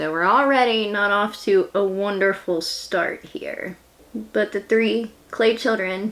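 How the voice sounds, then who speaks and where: Someone with a West Virginia accent talks at a fairly slow pace with ordinary pitch variation over noticeable background noise. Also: woman. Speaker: beauty and history YouTuber. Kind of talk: casual vlog narration. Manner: chatty.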